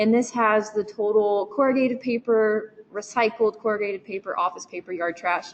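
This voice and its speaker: A woman with a Kentucky accent speaks at a moderate pace in a fairly high pitch, with hardly any pauses. Her intonation is fairly even, and background noise is noticeable. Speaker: research student. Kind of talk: technical presentation. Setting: meeting room with online attendees.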